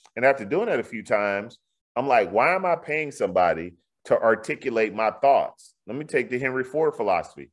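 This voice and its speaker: A plain, everyday voice from a man, medium in pitch, with lively intonation and a fairly quick pace. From Houston, Texas (Fifth Ward). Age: 40s. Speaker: real estate developer and builder. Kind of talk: interview.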